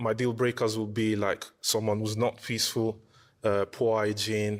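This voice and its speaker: A man at a fairly slow pace, in a very clean recording with a silent background. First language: Italian. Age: 30s. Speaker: dating show contestant. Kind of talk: interview on dating show. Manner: hesitant, many fillers.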